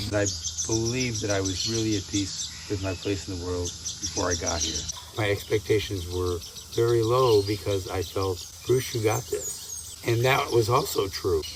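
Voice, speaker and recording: Through noticeable background noise and audible room echo, a man's fairly low voice comes across with ordinary pitch variation. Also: moderate pace. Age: 70s. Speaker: retreat participant. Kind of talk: testimonial interview.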